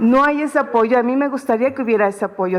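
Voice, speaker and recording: Fairly quick delivery over noticeable background noise. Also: woman. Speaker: repatriated migrant. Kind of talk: press conference statement. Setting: press conference room. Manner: halting.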